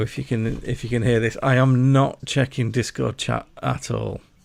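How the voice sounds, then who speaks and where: In a Yorkshire accent, a man with a medium pitch speaks at a fairly slow pace with monotone, flat intonation. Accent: mild Yorkshire. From Yorkshire, northern England. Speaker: gaming streamer. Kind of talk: live gameplay commentary. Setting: livestream at home desk. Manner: halting, stammering while concentrating; loud. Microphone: mic placed too close at first.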